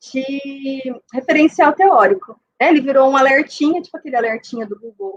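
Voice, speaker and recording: At a moderate pace, a woman speaks in a dry, close sound with no echo. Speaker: university professor, lecturer. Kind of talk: academic talk. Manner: hesitant with fillers.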